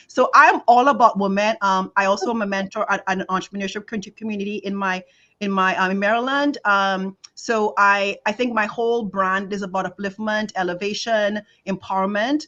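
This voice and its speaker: At a moderate pace, a woman with a Trinidadian accent speaks in a medium pitch with a bright, sharp tone and ordinary pitch variation over a quiet background. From Trinidad and Tobago. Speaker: leadership coach. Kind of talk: casual chat. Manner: halting.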